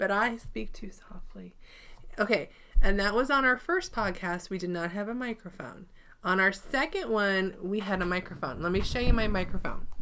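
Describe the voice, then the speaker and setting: A woman's medium-pitched voice, bright and sharp in tone, with ordinary pitch variation and a moderate pace. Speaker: quilting vlogger. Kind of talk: casual chat. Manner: soft-spoken. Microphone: microphone wrapped in batting to cut echo.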